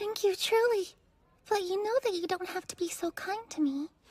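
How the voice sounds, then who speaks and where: A squeaky, cartoonish character voice, female-sounding, extremely high in pitch, at a moderate pace. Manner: soft, hesitant.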